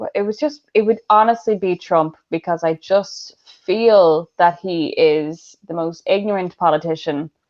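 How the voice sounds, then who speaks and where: A woman speaks in an Irish accent with a fairly low voice. Her pitch varies in an ordinary way. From Ireland. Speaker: podcast host. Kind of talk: casual chat. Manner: fast.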